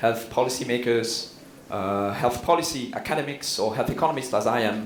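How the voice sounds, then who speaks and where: A man with a Swiss French accent at a medium pitch and moderate pace, with ordinary pitch variation, audible room echo and noticeable background noise. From Switzerland, Neuchâtel (French-speaking). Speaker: health economist, professor. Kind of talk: conference keynote. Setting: conference stage with audience. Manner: hesitant, many fillers.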